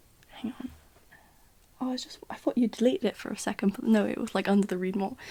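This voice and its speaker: Soft-spoken and fairly high-pitched, a woman talks with ordinary pitch variation. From British. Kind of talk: ASMR Q&A, casual rambling.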